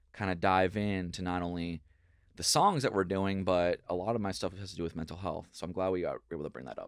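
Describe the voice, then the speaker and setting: A man with a very deep, low pitch and ordinary pitch variation, at a very fast pace, on a very clean recording with a silent background. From Minnesota. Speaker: pop punk singer-songwriter. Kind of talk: casual interview chat.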